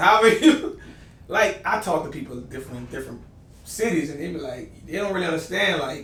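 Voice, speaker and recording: Amid noticeable background noise and audible room echo, a man with a New Orleans accent talks at a fairly quick pace and a fairly high pitch, with lively intonation and big swings in loudness. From New Orleans, Louisiana. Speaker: podcast host. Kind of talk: casual chat.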